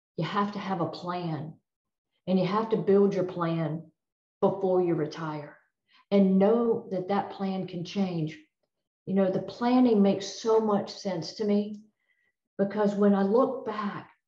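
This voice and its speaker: Somewhat breathy and dark, mellow in tone, a woman talks at a fairly slow pace with fairly even intonation and long, frequent pauses. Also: medium pitch for a woman. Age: 60s. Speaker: retired federal drug agent. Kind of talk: presentation.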